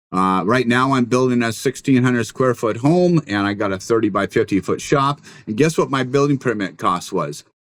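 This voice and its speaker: In a very clean recording with a silent background, a man talks at a moderate pace and a medium pitch. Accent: American. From Washington State, US Pacific Northwest. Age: 60s. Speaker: building contractor. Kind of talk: interview conversation. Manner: halting, many fillers.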